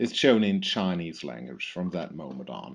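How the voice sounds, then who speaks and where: With a German accent, a man speaks. His pitch swings very widely. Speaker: product specialist. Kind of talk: software tutorial. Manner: halting, many fillers.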